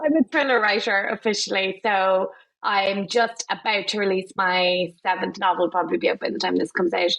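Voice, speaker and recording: This woman speaks in a Cork accent at a medium pitch. Her pace is fairly quick, with ordinary pitch variation. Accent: Cork Irish. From Ireland, Cork. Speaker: crime thriller author. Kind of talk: podcast interview, casual chat. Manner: animated.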